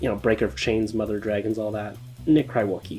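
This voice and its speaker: Over music in the background, a man at a medium pitch talks at a very fast pace. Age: 20s. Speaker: student video producer. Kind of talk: scripted narration. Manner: casual, conversational.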